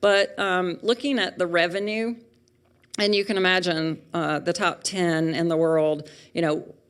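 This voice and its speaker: A woman speaks in a Southern US accent at a fairly slow pace. Her pitch is fairly low, with ordinary variation. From US South. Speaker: pharmaceutical industry speaker. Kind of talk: lecture. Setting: auditorium with audience.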